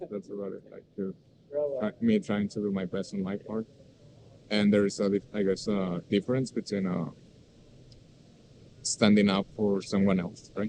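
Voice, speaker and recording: Speaking at a moderate pace with a Spanish accent, a man uses a dark, mellow tone and monotone, flat intonation, with long, frequent pauses. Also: fairly low pitch for a man. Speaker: university student. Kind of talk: casual conversational interview. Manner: halting, many fillers.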